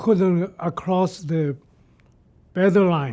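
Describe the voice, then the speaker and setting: A man at a very slow pace, with a dark, mellow tone and ordinary pitch variation. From Shanghai, China. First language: Shanghainese Chinese. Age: 80s+. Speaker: retired computer engineer. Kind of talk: oral history interview. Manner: halting, many fillers.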